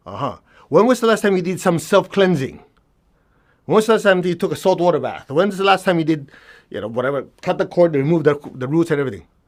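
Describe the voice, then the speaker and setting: On a very clean recording with a silent background, a man with a non-native accent speaks at a very fast pace in a high pitch, his tone animated and his intonation lively. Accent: noticeable foreign. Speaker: energy healing teacher. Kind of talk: workshop lecture.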